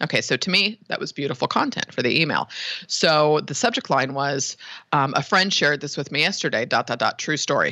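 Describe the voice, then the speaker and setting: The speaker has a Californian accent and an animated tone. The pace is fairly quick. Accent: Californian American. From San Francisco Bay Area. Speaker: web design business owner. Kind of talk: interview.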